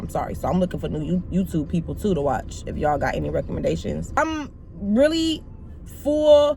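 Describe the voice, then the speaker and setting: Loud and animated in tone, a woman speaks with very wide pitch swings. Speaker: YouTuber. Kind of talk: casual vlog talk to camera.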